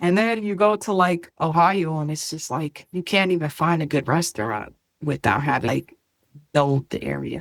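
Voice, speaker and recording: Speaking with a New Jersey accent, a woman talks at a fairly quick pace with lively intonation. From New Jersey, US. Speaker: podcast guest, host's sister. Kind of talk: casual chat.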